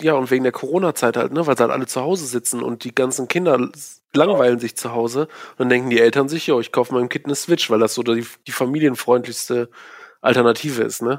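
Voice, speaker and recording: A very fast man at medium pitch, fairly even in intonation, with a dry, close sound with no echo on a very clean recording with a silent background. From Aachen, western Germany. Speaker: old school friend. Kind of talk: casual chat.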